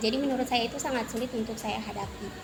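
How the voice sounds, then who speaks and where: A woman's high, monotone voice with flat intonation, music in the background. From Central Sulawesi, Indonesia (Banggai Islands). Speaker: university student. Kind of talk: interview.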